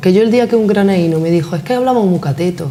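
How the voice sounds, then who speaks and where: Speech at a very fast pace, ordinary in pitch variation, amid noticeable background noise. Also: woman. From Granada, Andalusia. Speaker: interview guest. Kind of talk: interview.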